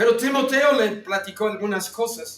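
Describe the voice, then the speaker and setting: A man speaks with ordinary pitch variation. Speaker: theology teacher. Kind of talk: lecture.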